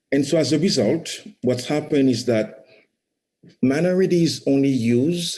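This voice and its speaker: With audible room echo around him, a man speaks at a moderate pace in a medium pitch, his dark, mellow tone paired with lively intonation. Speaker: startup founder. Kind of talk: conference talk. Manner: frequent repetitions and fillers.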